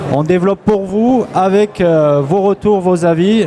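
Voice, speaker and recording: A man speaks in a southwestern French accent. Noticeable background noise runs beneath him. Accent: southwest French. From southwest France. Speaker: software company founder receiving award. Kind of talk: award acceptance speech.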